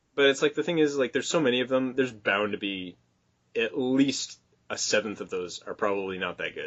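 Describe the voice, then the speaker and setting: At a fairly quick pace, a man talks in a normal speaking voice, medium in pitch with ordinary pitch variation. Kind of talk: casual podcast conversation. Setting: low-quality recording.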